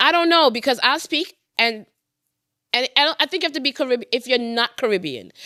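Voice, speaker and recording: A woman projects a raised, high-pitched voice with a bright, sharp tone in a Trinidadian accent, at a fairly quick pace. The recording is very clean with a silent background and a dry, close sound with no echo. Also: lively intonation. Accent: Trinidadian, often mistaken for Jamaican. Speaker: podcast co-host. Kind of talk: casual chat.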